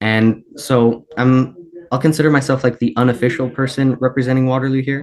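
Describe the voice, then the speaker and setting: Fairly even in intonation, a man talks at a medium pitch. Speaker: student with type 1 diabetes. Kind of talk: panel discussion. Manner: fast; casual, many fillers.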